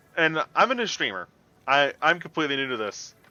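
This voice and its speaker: A man's fairly high-pitched voice comes through with music playing behind it. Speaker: vtuber streamer. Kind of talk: casual live stream chat. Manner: loud; animated.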